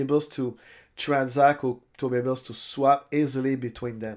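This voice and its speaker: Speaking with a French accent, a man at medium pitch keeps a moderate pace and fairly even intonation on a very clean recording with a silent background. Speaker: crypto YouTuber. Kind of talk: tutorial. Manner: halting.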